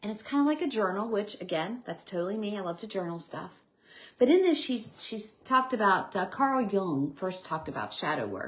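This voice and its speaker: A woman's medium-pitched voice, lively in intonation and with big swings in loudness. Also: fairly quick pace. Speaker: evidential medium, livestream host. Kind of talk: casual livestream talk. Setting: live video stream. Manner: fast.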